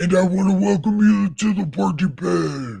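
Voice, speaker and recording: A man speaks in a put-on character voice pitched high. He keeps a moderate pace. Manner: booming.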